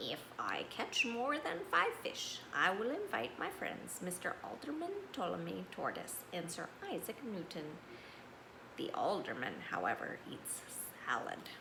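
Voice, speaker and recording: A woman uses a put-on character voice at a fairly slow pace. Loud background noise fills the clip. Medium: read story. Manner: prim, polite.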